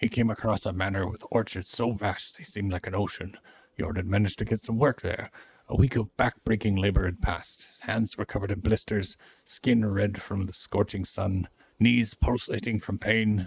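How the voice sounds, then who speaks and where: In a gruff, put-on character voice, a man talks at a moderate pace with a fairly low pitch and fairly even intonation, the sound dry and close with no echo. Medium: game stream. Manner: gruff, irritable.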